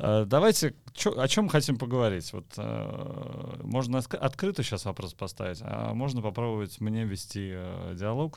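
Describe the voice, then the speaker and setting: An unremarkable speaking voice, lively in intonation, with hardly any pauses. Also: man. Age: 40s. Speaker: podcast host, tennis community founder. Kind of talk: casual chat. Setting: studio.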